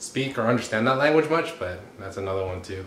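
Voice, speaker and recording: A man talks with a Californian accent. Noticeable background noise and audible room echo surround him. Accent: Californian American English. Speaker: vlogger's boyfriend. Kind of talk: casual chat.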